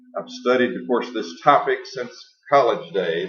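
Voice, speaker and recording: A man's voice with audible room echo. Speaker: science educator, lecturer. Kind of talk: lecture.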